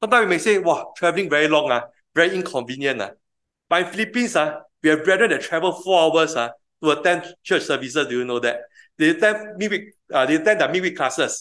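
A man talks at a very fast pace in a high pitch with a bright, sharp tone. The background is quiet. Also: lively intonation. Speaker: preacher. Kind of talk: sermon. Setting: church. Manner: fast talker.

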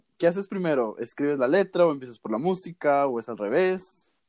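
A man speaks at a fairly quick pace, his pitch swinging very widely. The sound is dry and close, with no echo. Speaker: podcast host. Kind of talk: casual interview. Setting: remote call.

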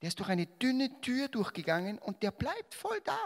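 In a Salzburg accent, a man speaks in an animated tone with very wide pitch swings. The recording is very clean and dry, with a silent background and no echo. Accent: Austrian German (Salzburg). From Austria, Salzburg. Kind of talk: religious talk to a live audience.

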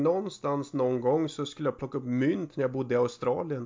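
A man speaks at a moderate pace in a plain, everyday voice, his pitch fairly high with ordinary variation. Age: 30s. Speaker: podcast co-host. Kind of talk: casual chat.

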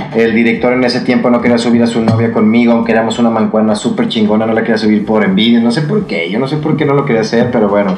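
With a Mexican accent, a man talks at a very fast pace with hardly any pauses, at medium pitch, with fairly even intonation and very even loudness, amid noticeable background noise and audible room echo. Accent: Mexican Spanish (Jalisco). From Mexico, Jalisco (Tepatitlán). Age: 30s. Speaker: singer and performer. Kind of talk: casual interview chat.

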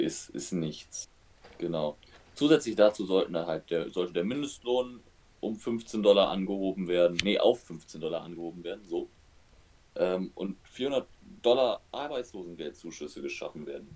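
Speaking at a moderate pace, a man with a fairly low pitch uses lively intonation and big swings in loudness. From western Germany, Oberbergisches Land. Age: 20s. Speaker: podcast co-host. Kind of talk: casual chat.

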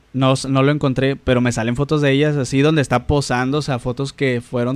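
A man speaks very fast at a medium pitch in a monotone, flat intonation. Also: hardly any pauses. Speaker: podcast co-host. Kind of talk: casual chat.

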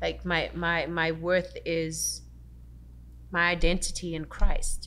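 A woman's voice carries audible room echo. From South Africa. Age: 40s. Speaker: actress and author. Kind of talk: casual faith conversation.

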